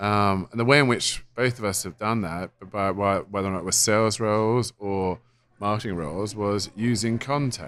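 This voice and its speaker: The recording is very clean, with a silent background. The speaker has an English accent, a moderate pace and ordinary pitch variation. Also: man, fairly low pitch for a man. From England. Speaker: software company co-founder. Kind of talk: interview. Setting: conference.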